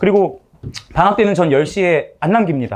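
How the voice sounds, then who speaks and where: This man speaks in a high pitch with lively intonation. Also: quiet background. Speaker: math academy teacher. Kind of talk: class info session presentation. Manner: fast.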